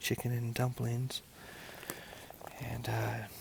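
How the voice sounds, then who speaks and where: A man speaks quietly at a fairly slow pace. Noticeable background noise is present. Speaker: hiking vlogger. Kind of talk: casual trail vlog narration. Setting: outdoors at a lakeside campsite. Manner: hushed, quiet; hesitant, many fillers.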